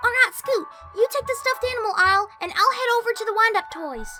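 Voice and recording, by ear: A female-sounding put-on character voice races at a very fast pace with an extremely high pitch while clear music plays in the background.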